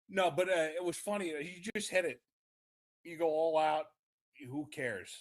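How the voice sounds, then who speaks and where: At a moderate pace, a man with a New York accent speaks with lively intonation. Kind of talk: casual chat.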